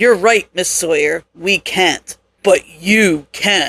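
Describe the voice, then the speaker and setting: A woman uses a put-on character voice at medium pitch and a very slow pace. The sound is dry and close with no echo. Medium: read story. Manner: calm, polished, coolly menacing.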